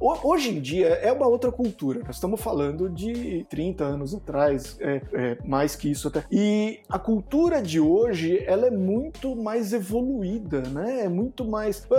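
Speaking fairly slowly in a São Paulo accent, a man with a high pitch swings very widely in pitch. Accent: São Paulo (Mooca). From São Paulo, Mooca. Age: 40s. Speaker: software developer. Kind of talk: casual chat. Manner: halting.

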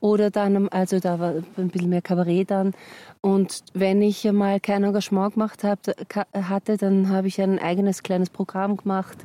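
A woman's dark, mellow tone in a monotone, flat intonation, with very even loudness and a dry, close sound with no echo. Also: medium pitch for a woman, moderate pace. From Austria, Vienna. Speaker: actress and musical singer. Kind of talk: casual chat. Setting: outdoors on a mountain walk.

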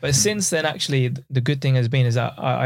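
The voice is somewhat breathy and the pace very fast. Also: man. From East London and Essex, Pakistani family. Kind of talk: casual chat.

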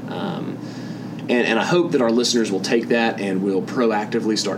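A man talks fairly quickly with ordinary pitch variation while noticeable background noise is present. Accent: Southern US. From US South. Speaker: podcast host. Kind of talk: interview. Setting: at a conference.

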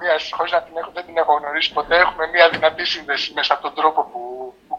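A man's pitch sits fairly high. He moves along at a fairly quick pace. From Greece. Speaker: film editor. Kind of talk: interview. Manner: halting.

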